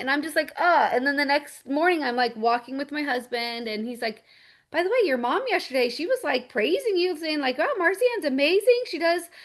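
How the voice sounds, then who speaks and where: The voice is loud and animated, with very wide pitch swings. It moves at a fairly quick pace over a quiet background. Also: woman. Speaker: network marketing team leader. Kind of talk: casual chat.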